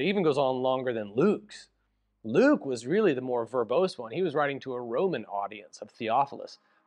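Music plays behind a man who talks at a fairly quick pace with ordinary pitch variation. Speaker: pastor. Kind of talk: sermon-style bible teaching. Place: office. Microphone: lapel.

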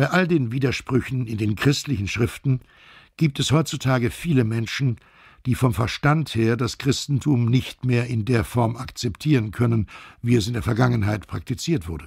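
Somewhat breathy speech at a moderate pace. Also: man, medium pitch for a man, ordinary pitch variation, very clean recording, silent background. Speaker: voice actor. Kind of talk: audiobook narration.

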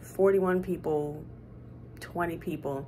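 Music plays in the background as a woman speaks in a very deep, low pitch with ordinary pitch variation. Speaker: flight attendant vlogger. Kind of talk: casual vlog chat. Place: home room. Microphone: phone near.

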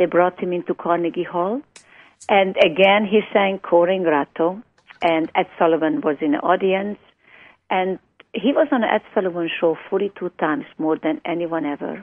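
Someone with a Hungarian accent speaks at a moderate pace with lively intonation. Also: woman, medium pitch for a woman. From Hungary. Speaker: music foundation founder. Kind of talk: radio interview. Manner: animated.

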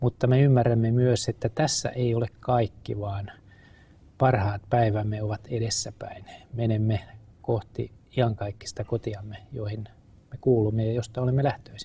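A man speaks at a fairly slow pace in a somewhat breathy voice, his intonation fairly even. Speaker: guest. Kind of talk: interview answer. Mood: earnest, calm. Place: studio. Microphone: lapel.

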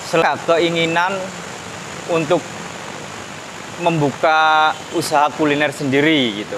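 A slow man's voice, fairly high-pitched with ordinary pitch variation, over clear background noise

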